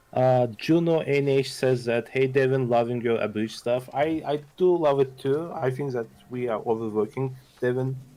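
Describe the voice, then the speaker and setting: A man with a slight Russian accent speaks at a medium pitch, his tone dark and mellow and his intonation fairly even. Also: moderate pace. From Azerbaijan. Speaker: history channel host. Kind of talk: casual livestream chat.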